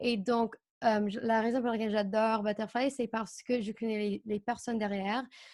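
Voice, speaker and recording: Recorded very cleanly against a silent background, a woman with an American accent speaks at a fairly high pitch in a monotone, flat intonation. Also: moderate pace. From United States. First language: English (speaking French). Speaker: au pair agency co-founder. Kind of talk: interview. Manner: halting.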